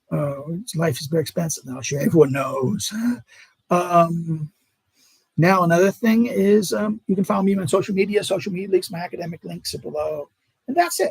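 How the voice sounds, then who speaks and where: This man speaks with a high pitch and ordinary pitch variation at a moderate pace. The sound is dry and close, with no echo. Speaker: political philosophy academic and video creator. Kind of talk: live stream monologue. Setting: home at mother-in-law's. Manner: stutter; halting.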